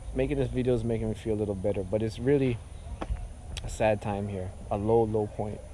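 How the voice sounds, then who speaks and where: Speaking very fast with long, frequent pauses, a man keeps a fairly even intonation at a fairly low pitch, with audible room echo. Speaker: video blogger. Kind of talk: vlog commentary. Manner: halting.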